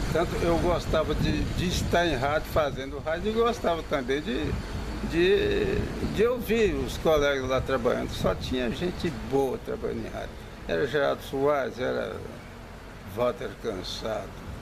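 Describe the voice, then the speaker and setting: Room echo is audible and background noise is noticeable as a man talks rather slowly. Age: 70s. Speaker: retired radio announcer. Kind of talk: interview.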